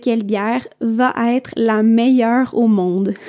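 A woman with a Quebec accent speaks at a high pitch in a dark, mellow tone. Her very slow speech has a dry, close sound with no echo. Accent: Québécois French. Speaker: podcast host for French learners. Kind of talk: learner podcast monologue. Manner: clear and measured.

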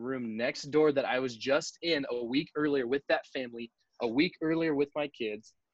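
With a Californian accent, a man speaks at a moderate pace and a medium pitch with ordinary variation. The sound is dry and close, without any echo. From Southern California (Riverside). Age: 30s. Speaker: young adult pastor. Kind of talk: casual interview.

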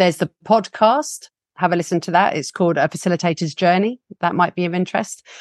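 A very fast woman's voice with an English accent, fairly low in pitch, in a dry, close sound with no echo. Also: ordinary pitch variation. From UK. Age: 40s. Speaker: facilitator and trainer, founder of a facilitation school. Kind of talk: casual interview. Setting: video call. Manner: animated, passionate.

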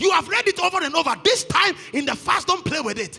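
A man with an extremely high pitch at a fairly quick pace, over noticeable background noise. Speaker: pastor. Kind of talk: sermon and fervent charismatic prayer with tongues. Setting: church service with congregation. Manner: escalating declarations, loud and urgent, bursts of tongues.

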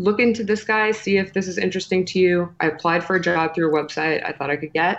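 A woman speaks very fast in a fairly low pitch against a quiet background. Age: 30s. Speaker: personal branding expert and podcast host. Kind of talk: interview.

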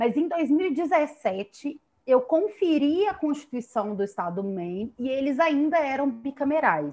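A woman speaks at a high pitch with a dark, mellow tone, very wide pitch swings, and hardly any pauses. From Brazil, Belo Horizonte (Minas Gerais). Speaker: law professor. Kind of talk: interview on political science topic. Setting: remote connection. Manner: halting, many fillers and repetitions.

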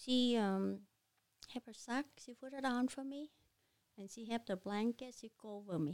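With a Vietnamese accent, the speaker goes at a fairly slow pace with long, frequent pauses, ordinary pitch variation and big swings in loudness, in a dry, close sound with no echo. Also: woman, fairly high pitch for a woman. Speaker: restaurant owner. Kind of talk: personal testimony interview.

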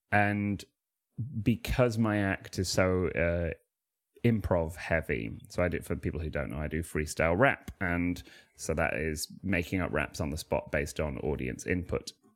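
A man with a Manchester accent, very deep and low in pitch, with vocal fry, lively intonation and a moderate pace. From Manchester, England. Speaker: comedian and freestyle rapper. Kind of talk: casual interview chat. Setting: remote call.

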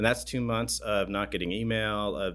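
A man with a West Coast accent speaks in a bright, sharp tone. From Oregon, US. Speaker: city information security manager. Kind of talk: interview.

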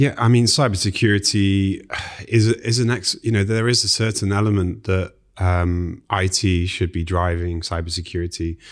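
With a British accent, a man talks at a moderate pace using fairly even intonation. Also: very clean recording, silent background. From UK. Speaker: IT security specialist. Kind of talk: casual interview. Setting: studio.

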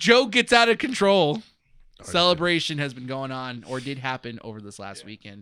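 A man with an American accent speaks at a moderate pace in a fairly high voice, his bright, sharp tone swinging very widely in pitch on a very clean recording with a silent background. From United States. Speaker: podcast host. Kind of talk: casual chat. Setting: comic shop.

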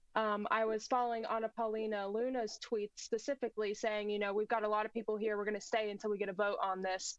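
Talking very fast with hardly any pauses, a woman with an American accent holds a monotone, flat intonation at a fairly high pitch. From United States. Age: 20s. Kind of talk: political talk show interview.

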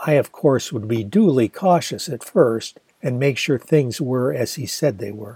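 A man with a plain, everyday voice at medium pitch, fairly slow yet with hardly any pauses, lively intonation and big swings in loudness. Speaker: audiobook narrator and author. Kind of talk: literary audiobook reading of a memoir novel. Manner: measured, storytelling narration, with attempted Australian-accent character voices.

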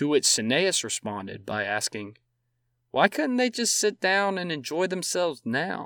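A man speaks at a fairly slow pace in a fairly high, bright, sharp voice with very wide pitch swings. The recording is very clean, with a silent background and a dry, close sound with no echo. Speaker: podcast host, history narrator. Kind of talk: scripted history narration. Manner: measured, storytelling pace with dramatic, vivid emphasis; formal, clear and steady, with wry amusement at anecdotes.

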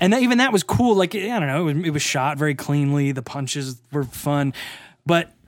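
Fairly high in pitch, a man talks at a fairly quick pace in a normal speaking voice on a very clean recording with a silent background. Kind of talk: casual chat. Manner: joking, laughs a lot.

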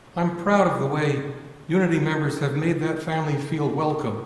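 A man with an American accent talks at a moderate pace, his pitch fairly high and his intonation fairly even. Noticeable background noise and audible room echo are present. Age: 70s. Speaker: church member giving reflection. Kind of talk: sermon.

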